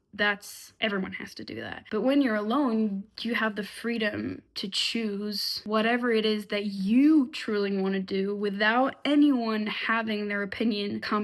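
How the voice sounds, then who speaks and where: A woman at a medium pitch talks at a fairly slow pace with hardly any pauses. Her intonation stays fairly even. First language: French. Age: 20s. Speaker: vlogger. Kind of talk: casual monologue. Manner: halting.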